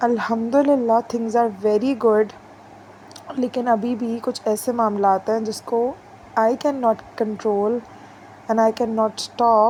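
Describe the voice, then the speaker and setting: A woman's fairly high voice in monotone, flat intonation, with long, frequent pauses. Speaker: vlogger. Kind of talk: casual vlog talk.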